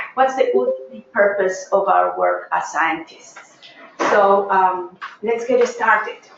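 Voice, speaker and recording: A woman speaks at a medium pitch with a Peruvian accent. Noticeable background noise and audible room echo are present. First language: Spanish. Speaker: professor. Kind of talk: lecture. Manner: hesitant, many fillers.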